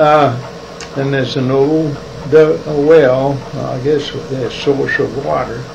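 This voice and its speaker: Very slow speech in a North Carolina accent, with noticeable background noise and audible room echo. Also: man. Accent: Southern US (North Carolina). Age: 90s. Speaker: retired businessman. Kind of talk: oral history interview. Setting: his office. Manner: halting.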